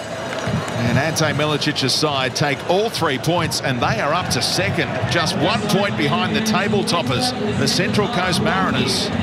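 Noticeable background noise surrounds a man with a high-pitched voice. He keeps a moderate pace. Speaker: football match commentator. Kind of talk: football commentary. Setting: stadium match broadcast.

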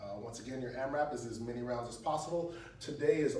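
A man at a moderate pace with ordinary pitch variation, audible room echo and light background noise. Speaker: fitness coach. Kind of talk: tutorial. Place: gym. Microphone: camera far.

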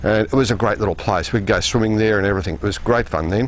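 This man speaks at a very fast pace. There is light background noise. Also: dry sound with no echo. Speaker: TV presenter. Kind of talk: piece to camera. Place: open country.

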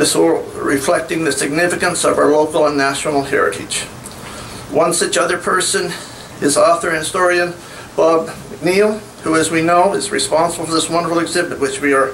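A man's high-pitched voice at a fairly quick pace, with fairly even intonation, very even loudness and light background noise. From New Brunswick, Canada. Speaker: community committee representative; speaker. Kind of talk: public speech. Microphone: podium.

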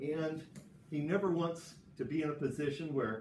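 A man speaks at a fairly high pitch. Light background noise and audible room echo surround him. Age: 60s. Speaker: jiu-jitsu instructor. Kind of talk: tutorial. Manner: casual. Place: gym. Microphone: camera far.

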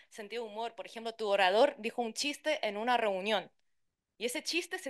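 Over a quiet background, a woman speaks with a fairly high pitch. Her pitch varies in an ordinary way. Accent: Chilean. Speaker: translator and interpreter; conference panelist. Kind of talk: conference talk. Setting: conference room with interpreters. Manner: fast. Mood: lively, humorous. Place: hall.

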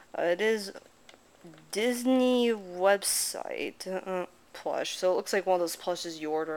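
Speaking at a fairly slow pace, a woman talks. Her pitch variation is ordinary. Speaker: thrift haul vlogger. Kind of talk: casual vlog chat. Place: home room. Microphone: phone near.

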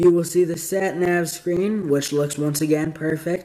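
A man's high-pitched voice, monotone and flat, at a fairly slow pace. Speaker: diecast model car reviewer. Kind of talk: product review. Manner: casual, filler-heavy. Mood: calm, appreciative. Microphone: phone near.

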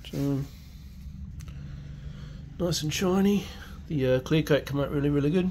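A man speaks at a fairly slow pace with a fairly high pitch, ordinary pitch variation, and a dark, mellow tone.

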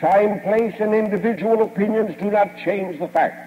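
A man talks at a fairly slow pace. His pitch is high. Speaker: chiropractic lecturer and radio station owner. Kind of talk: 1950s platform lecture, recorded speech to a live audience. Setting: stage with audience. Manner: formal, old-fashioned oratory, folksy and boastful, with jokes and anecdotes. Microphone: old recording.

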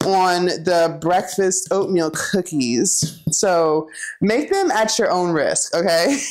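A woman speaks at a fairly slow pace while the background stays quiet. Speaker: vegan cooking vlogger. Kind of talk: casual cooking vlog chat. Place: kitchen. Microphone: lapel.

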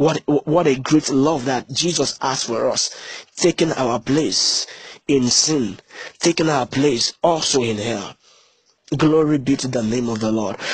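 Somewhat breathy and animated in tone, a man speaks at a fairly slow pace with a fairly high pitch and ordinary pitch variation. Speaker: preacher. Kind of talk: sermon. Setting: church. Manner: animated, repetitive call-and-response preaching; emphatic, repeats key phrases for emphasis.

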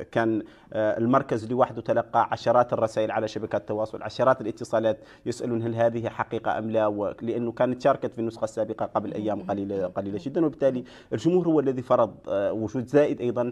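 A man speaks at a fairly quick pace with hardly any pauses and fairly even intonation. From Mauritania. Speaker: festival media officer; guest. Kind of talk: TV interview. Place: studio.

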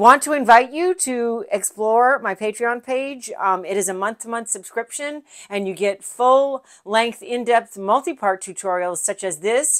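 Over a quiet background, a woman speaks with lively intonation and big swings in loudness. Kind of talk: tutorial. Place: studio.

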